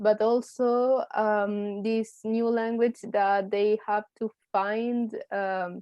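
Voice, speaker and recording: A woman with a Spanish accent at a fairly high pitch, very slow in pace with hardly any pauses, her intonation monotone and flat. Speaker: university student. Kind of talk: group discussion. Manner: halting.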